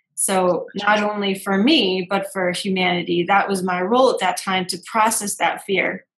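A woman with a normal speaking voice talks at a moderate pace, her medium pitch carrying fairly even intonation. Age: 30s. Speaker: intuitive business coach and podcast host. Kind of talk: casual chat.

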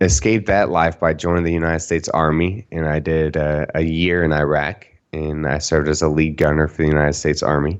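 Speaking at a fairly quick pace, a man with a Texan accent uses a very deep, low pitch and a monotone, flat intonation. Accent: Texan American. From Texas, Dallas-Fort Worth. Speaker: mental health speaker and media exposure coach, war veteran. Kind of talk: podcast interview.

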